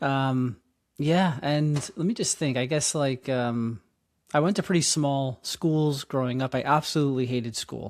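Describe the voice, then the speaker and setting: A man speaks at a moderate pace with a fairly high pitch and a New York accent, his pitch varying in an ordinary way. The recording is very clean, with a silent background. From New York City (Queens). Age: 40s. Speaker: nonprofit founder and educator. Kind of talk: interview. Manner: halting, many fillers.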